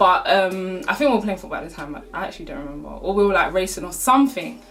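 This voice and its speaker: Music plays in the background. The speaker sounds animated, with very wide pitch swings. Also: woman. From South London. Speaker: YouTuber. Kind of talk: storytime vlog. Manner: animated, casual.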